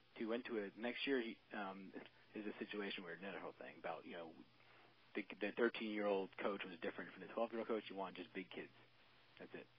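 With an American accent and a normal speaking voice, a man talks at a fairly quick pace, his intonation fairly even but his loudness swinging widely. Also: fairly low pitch for a man. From Maryland. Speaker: law enforcement officer and youth baseball coach. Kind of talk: casual interview.

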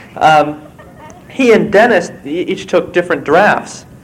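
Audible room echo follows a man's voice. He has a high pitch and speaks with an American accent. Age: 20s. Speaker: novelist and screenwriter. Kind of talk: conference talk.

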